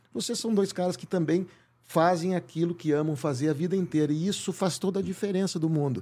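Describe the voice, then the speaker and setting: A man speaks at a fairly quick pace in a high pitch with a dark, mellow tone. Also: very clean recording, silent background. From Rio Grande do Sul, Porto Alegre. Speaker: actor. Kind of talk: casual interview chat.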